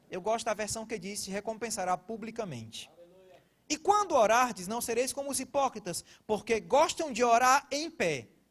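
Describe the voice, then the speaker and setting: A man with a northeastern Brazilian accent, extremely high in pitch, at a moderate pace with ordinary pitch variation. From Brazilian Northeast. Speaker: pastor. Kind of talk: sermon.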